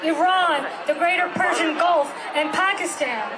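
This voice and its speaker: Crowd noise and audible room echo surround a woman whose extremely high voice has ordinary pitch variation. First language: not English. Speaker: climate activist. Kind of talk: speech at a rally. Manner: halting.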